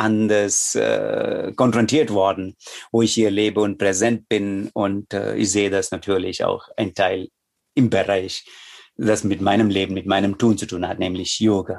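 A man with a Tamil accent speaks at a moderate pace. Behind him the background is quiet. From India, Chennai. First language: Tamil (speaking German). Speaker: yoga teacher and Sanskrit scholar. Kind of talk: interview conversation. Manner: halting.

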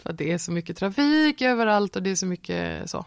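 This is a woman talking at a medium pitch. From Sweden, Nybro in Småland. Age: 30s. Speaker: performer. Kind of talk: casual chat. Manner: talkative.

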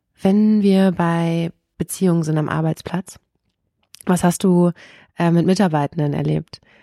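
Slow-paced and fairly low in pitch, a woman speaks in a dark, mellow tone with monotone, flat intonation and long, frequent pauses, the sound dry and close with no echo. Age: 30s. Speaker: podcast host. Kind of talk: interview conversation.

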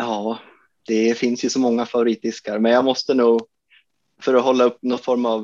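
Monotone, flat intonation carries a man's medium-pitched voice. He keeps a moderate pace. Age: 30s. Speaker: disc golf course designer. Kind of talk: casual interview.

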